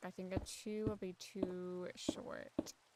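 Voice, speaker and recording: A woman speaks quietly. Her pitch is medium. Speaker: gaming streamer. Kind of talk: casual chat. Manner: soft-spoken.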